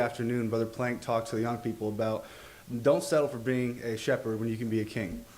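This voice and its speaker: A man speaks at a fairly quick pace in a room with audible echo. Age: 20s. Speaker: bible college student. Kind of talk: testimony. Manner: halting.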